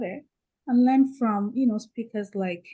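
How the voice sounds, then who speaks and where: This woman is soft-spoken and somewhat breathy, with a dark, mellow tone. She talks at a moderate pace with fairly even intonation. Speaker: panel speaker. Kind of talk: panel discussion.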